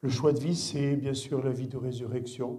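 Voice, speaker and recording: Slightly breathy and dark, mellow in tone, a man speaks in a flat monotone over audible room echo. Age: 60s. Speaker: guest pastor. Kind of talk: sermon. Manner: halting.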